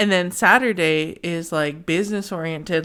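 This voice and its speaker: Speaking at a fairly slow pace, a woman uses a fairly low pitch and fairly even intonation. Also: very clean recording, silent background. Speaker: podcast host, intuitive tarot reader. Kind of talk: casual chat. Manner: stumbling over words.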